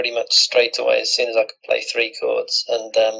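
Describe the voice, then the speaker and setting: A man speaks with a British accent. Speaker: musician. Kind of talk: interview.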